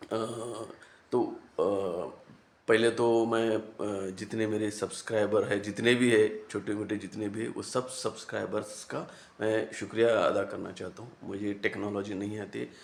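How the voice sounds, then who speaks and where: A man speaks in a monotone with flat intonation. His pitch is fairly low. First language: Marathi (speaking Hindi). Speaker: YouTube commentator. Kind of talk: casual monologue to camera. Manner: halting, many fillers.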